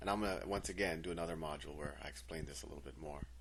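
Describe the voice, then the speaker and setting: Vocal fry runs through this man's voice, and the room adds audible echo. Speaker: math teacher. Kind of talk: tutorial.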